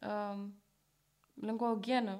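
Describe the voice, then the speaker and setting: At a very slow pace, a woman speaks in a fairly high voice. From Bucharest, Romania (Berceni). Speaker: podcast host, art student. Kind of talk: casual chat.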